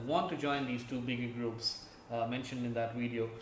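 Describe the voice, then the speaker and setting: There is noticeable background noise and audible room echo around a man speaking. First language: not English. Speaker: gaming YouTuber. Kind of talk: casual commentary video. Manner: halting, many fillers.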